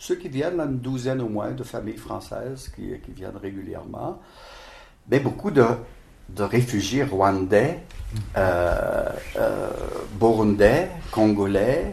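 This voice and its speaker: At a very slow pace, a man speaks in a somewhat breathy voice at a medium pitch. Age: 70s. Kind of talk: interview. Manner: halting.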